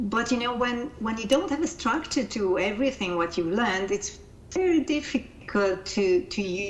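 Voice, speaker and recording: A woman with a Hungarian accent speaks at a moderate pace, her fairly high pitch making very wide swings. Noticeable background noise runs under her voice. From Hungary. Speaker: life coach and coaching-method founder. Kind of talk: interview. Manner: halting, repeats words.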